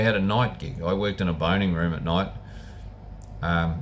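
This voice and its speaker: A man talks at a moderate pace with a very deep, low pitch. Noticeable background noise and audible room echo surround his voice. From New Zealand. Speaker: vlogger, former butcher. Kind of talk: casual monologue. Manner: halting, repetitive.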